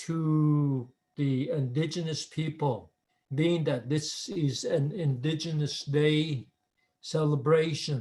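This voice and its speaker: Speaking at a very slow pace with an American accent, a man uses a fairly high pitch and ordinary pitch variation. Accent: Navajo English. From Navajo Nation, US Southwest. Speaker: spiritual leader. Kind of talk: recorded talk. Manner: halting.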